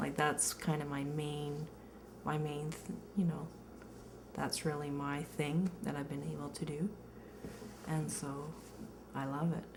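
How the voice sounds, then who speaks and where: A woman with a Canadian accent speaks fairly slowly at a very deep, low pitch in monotone, flat intonation, with long, frequent pauses, audible room echo and noticeable background noise. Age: 30s. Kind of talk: interview testimony. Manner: halting, many fillers.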